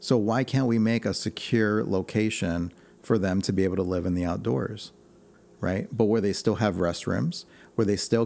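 A man speaks with an American accent. His pace is moderate and his pitch varies in an ordinary way. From US Midwest, Chicago. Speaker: political candidate. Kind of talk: radio interview. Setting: radio studio.

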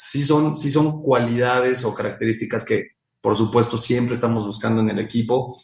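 This man's voice is somewhat breathy. He talks at a moderate pace. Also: medium pitch for a man. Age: 30s. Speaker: company founder and CEO. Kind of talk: interview.

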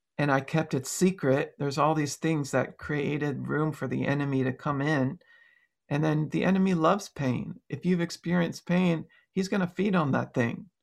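A man speaks at a moderate pace with an American accent, his pitch fairly high with ordinary variation. He has a plain, everyday voice, on a very clean recording with a silent background. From Long Island, New York. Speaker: songwriter and healing evangelist. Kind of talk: casual interview chat; deliverance prayer.

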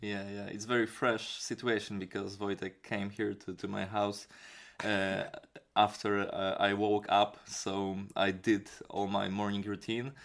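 A man's fairly low, monotone, flat voice with a strong Polish accent at a fairly slow pace, over a very clean recording with a silent background. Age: 20s. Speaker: kickboxing trainer and musician. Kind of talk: casual interview chat. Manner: halting, searching for words.

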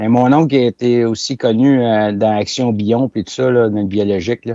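A man with a Quebec accent speaks at a fairly slow pace in a dark, mellow, medium-pitched voice with fairly even intonation, the sound dry and close with no echo. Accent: Québécois French. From Quebec, La Présentation near Saint-Hyacinthe. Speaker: farm machinery manufacturer. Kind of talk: casual interview.

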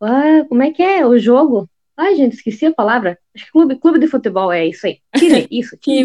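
A woman with a Paraná accent speaks at a high pitch with very wide pitch swings. The sound is dry and close, with no echo. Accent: southern Brazilian (Paraná interior). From interior of Paraná, Brazil. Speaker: travel blogger and YouTuber. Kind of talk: casual interview chat.

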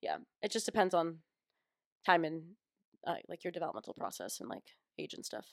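With vocal fry and fairly low pitch, a woman talks at a fairly quick pace but leaves long, frequent pauses. Her pitch varies in an ordinary way, and the sound is dry and close with no echo. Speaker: psychology student guest. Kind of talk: casual chat interview. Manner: casual, laughs often.

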